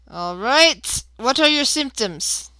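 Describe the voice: A female-sounding voice puts on a robotic character voice with a high pitch. The recording is very clean, with a silent background.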